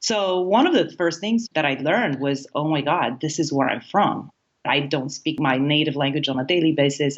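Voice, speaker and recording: A woman speaks in a Romanian accent with a very deep, low voice. Her pitch varies in an ordinary way at a moderate pace. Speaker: happiness coach. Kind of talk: interview.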